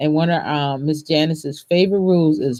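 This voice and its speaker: Her pace is fairly slow. A woman speaks with a very deep, low pitch. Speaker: natural hair care practitioner and tutor. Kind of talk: tutorial. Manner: halting; casual.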